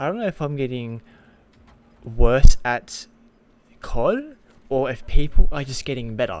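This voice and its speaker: Speaking at a fairly slow pace, a man with an Australian accent shows ordinary pitch variation. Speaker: gaming content creator. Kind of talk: casual vlog commentary. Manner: halting, many fillers and restarts.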